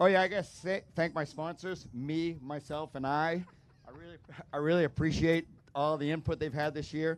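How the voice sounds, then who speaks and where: A man with a plain, everyday voice speaks at a moderate pace with a fairly high pitch and fairly even intonation. His loudness swings widely. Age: 60s. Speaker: amateur dirt bike racer. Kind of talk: post-race interview. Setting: outdoors at a motocross track.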